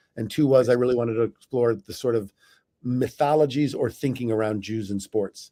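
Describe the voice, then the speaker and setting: An American-accented man speaks at medium pitch in a dark, mellow tone, keeping fairly even intonation at a fairly quick pace. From US Midwest, St. Louis. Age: 60s. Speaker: author and former magazine editor. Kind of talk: interview conversation. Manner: halting, many fillers and restarts.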